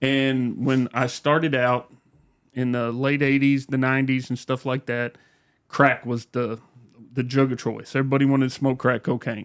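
The man holds a medium pitch and a monotone, flat intonation while keeping a moderate pace. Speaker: police officer. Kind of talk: casual chat.

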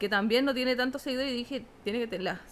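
A woman speaks very fast in a high pitch with a Chilean accent. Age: 30s. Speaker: teacher and fashion content creator. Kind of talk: casual chat.

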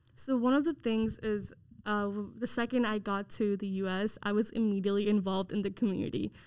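Speaking at a fairly quick pace with a Nepali accent, a woman keeps a medium pitch and fairly even intonation. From Nepal (Bhutanese refugee camp), moved to US at nine. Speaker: university student. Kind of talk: casual interview chat. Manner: halting, many fillers and restarts.

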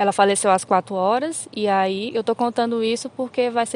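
This woman has an unremarkable speaking voice. She talks at a medium pitch with ordinary pitch variation. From Brazil, Federal District (Recanto das Emas). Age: 20s. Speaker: visual artist. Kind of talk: casual chat.

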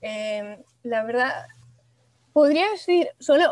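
Dry and close with no echo, a woman's high-pitched voice shows ordinary pitch variation. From Venezuela, Maracay. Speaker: industrial designer. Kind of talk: interview. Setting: studio. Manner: halting.

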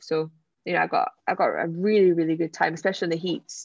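A woman with a Scottish accent talks at a fairly quick pace. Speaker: Paralympic wheelchair sprinter. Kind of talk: interview.

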